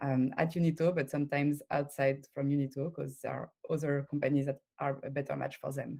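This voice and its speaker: A woman with a French accent talks fairly quickly at a very deep, low pitch, her intonation monotone and flat and her speech hardly pausing. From France. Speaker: recruiter. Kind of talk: conference talk. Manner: halting.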